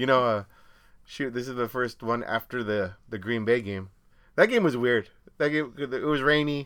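A man speaks in a plain, everyday voice at medium pitch with ordinary pitch variation. The pace is moderate and the recording very clean, with a silent background. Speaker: podcast co-host. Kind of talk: casual chat. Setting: home studio.

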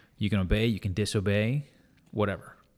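A man speaks in an unremarkable speaking voice, fairly low in pitch. His pitch varies in an ordinary way and his pace is fairly quick. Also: very clean recording, silent background. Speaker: business founder and former Walmart buyer. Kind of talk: casual interview chat.

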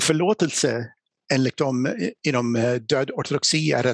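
A man with an English accent, medium in pitch, with ordinary pitch variation. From USA, small town. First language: English (speaking Swedish). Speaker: apologetics speaker. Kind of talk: lecture. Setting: live event with audience.

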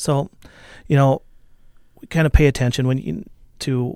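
A man speaks with a dark, mellow tone and fairly even intonation. The recording is very clean, with a silent background. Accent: American. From southern Minnesota, US. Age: 40s. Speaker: concert venue director and former musician. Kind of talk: casual interview. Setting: radio studio.

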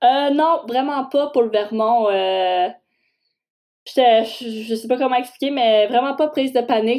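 A woman's fairly high voice with a dark, mellow tone, a fairly slow pace, ordinary pitch variation and a quiet background. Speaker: university hockey player. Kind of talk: interview.

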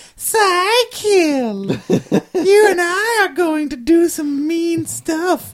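Delivered at a very slow pace, this put-on character voice sits at an extremely high pitch. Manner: creepy, menacing.

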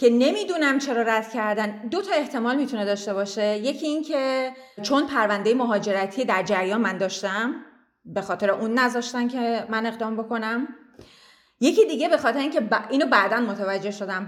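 Talking at a fairly quick pace, a woman has an ordinary speaking voice. Her pitch is fairly high, with ordinary pitch variation. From Iran, Tehran. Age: 30s. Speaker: immigrant interviewee. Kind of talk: interview, personal story.

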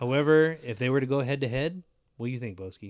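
A man talks at a medium pitch with ordinary pitch variation in a plain, everyday voice. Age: 30s. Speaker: amateur baseball podcast co-host. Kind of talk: casual chat.

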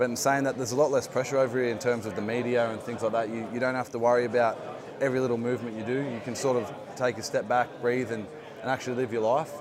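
Amid noticeable background noise and audible room echo, a man with an Australian accent talks very fast at a medium pitch in a flat monotone. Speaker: rugby league player. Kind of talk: interview. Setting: playoffs media day at a stadium.

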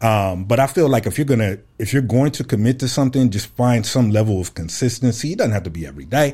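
With an American accent, a man of medium pitch talks very fast in a dark, mellow, somewhat breathy tone with lively intonation. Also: hardly any pauses. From Fresno, California. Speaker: podcaster and artist. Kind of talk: interview.

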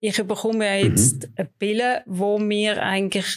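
A woman's medium-pitched voice at a very slow pace. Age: 50s. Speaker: breast cancer patient. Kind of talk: interview. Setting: studio.

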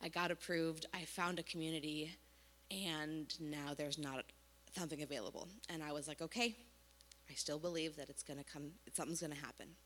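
Talking at a fairly quick pace with long, frequent pauses, a woman uses a very deep, low pitch and fairly even intonation. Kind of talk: testimony. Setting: church.

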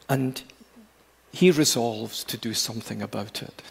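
With a Glasgow accent, a man speaks at a fairly slow pace with ordinary pitch variation. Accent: educated Glasgow Scottish. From Scotland. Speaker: preacher. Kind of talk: sermon. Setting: church.

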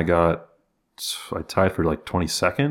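Here a man speaks in an unremarkable speaking voice at a moderate pace. His intonation is lively, and the recording is very clean with a silent background. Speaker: podcast host. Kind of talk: casual chat.

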